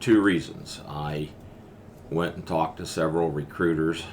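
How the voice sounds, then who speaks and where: A man with a western Pennsylvania accent speaks at a fairly slow pace. His pitch is very deep and low, and his intonation is fairly even. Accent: western Pennsylvania American. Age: 70s. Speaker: war veteran. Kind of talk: interview. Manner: halting.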